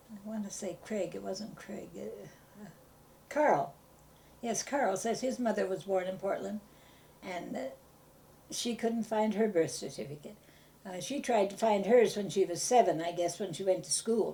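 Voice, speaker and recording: Speaking with a Pacific Northwest accent, a woman talks at medium pitch and a fairly slow pace, with ordinary pitch variation and long, frequent pauses. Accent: American, Pacific Northwest. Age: 80s+. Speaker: elderly local resident interviewed about town history. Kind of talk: oral history interview. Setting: at home. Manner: halting, many hesitations.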